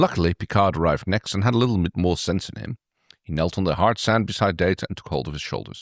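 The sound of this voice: Ordinary pitch variation shapes an unforced reading voice heard over a quiet background.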